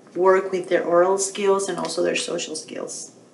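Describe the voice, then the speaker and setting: A woman speaks with audible room echo. Light background noise is present. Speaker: teacher or educator. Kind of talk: tutorial. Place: home room. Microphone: webcam.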